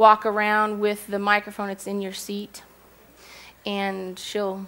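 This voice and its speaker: The pace is moderate. A woman delivers her words in a monotone, flat intonation. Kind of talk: sermon discussion talk. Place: hall.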